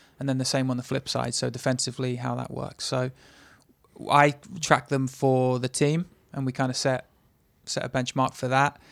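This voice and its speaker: A man at medium pitch, monotone and flat in intonation, at a moderate pace with long, frequent pauses. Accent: English. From England. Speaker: soccer assistant coach. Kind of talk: casual interview.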